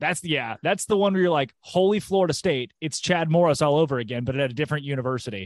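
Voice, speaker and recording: The speaker has an American accent. Delivery is very fast, with lively intonation. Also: man, fairly high pitch for a man, hardly any pauses. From Arkansas, near Conway. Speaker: college football podcaster. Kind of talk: casual chat.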